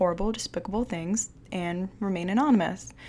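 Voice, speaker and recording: A woman's voice with an American accent, medium in pitch. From Michigan, US Midwest. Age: 20s. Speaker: podcast host. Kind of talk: casual monologue. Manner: rambling, hesitant.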